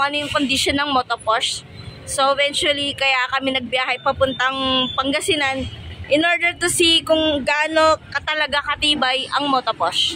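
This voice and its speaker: A woman's raised, projected voice at a high pitch and fairly slow pace. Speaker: travel vlogger. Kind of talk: casual vlog narration. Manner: hesitant, filler-heavy.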